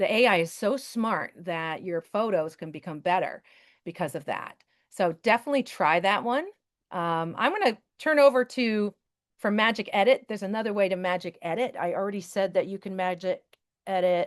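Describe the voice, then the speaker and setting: A woman's voice at medium pitch, with ordinary pitch variation, in a quiet background. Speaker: teacher and Canva presenter. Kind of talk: webinar tutorial with live demo. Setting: video call webinar. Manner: fast; casual, chatty.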